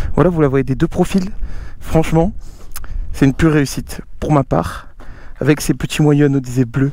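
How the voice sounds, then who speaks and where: The man's delivery moves at a fairly quick pace. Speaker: motorcycle youtuber. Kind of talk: casual vlog talk to viewers. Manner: soft-spoken; animated.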